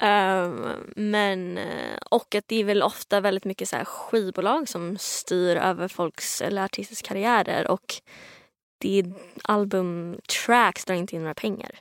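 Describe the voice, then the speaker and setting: Recorded very cleanly against a silent background with a dry, close sound and no echo, a woman speaks fairly slowly at a medium pitch with ordinary pitch variation and an unremarkable speaking voice. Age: 20s. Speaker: singer-songwriter. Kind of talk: casual chat. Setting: studio.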